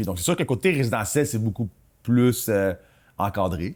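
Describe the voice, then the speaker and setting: In a very clean recording with a silent background, a man talks at a fairly quick pace with lively intonation. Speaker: real estate broker and podcast co-host. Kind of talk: casual chat. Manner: fast.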